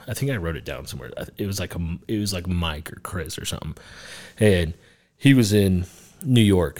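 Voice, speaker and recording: A man with a very deep, low voice and vocal fry, talking at a very fast pace with lively intonation in an American accent. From Reno, Nevada. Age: 30s. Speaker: bar owner. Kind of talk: casual chat.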